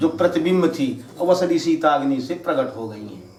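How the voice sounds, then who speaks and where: A man speaks against noticeable background noise. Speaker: religious storyteller. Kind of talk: devotional katha narration.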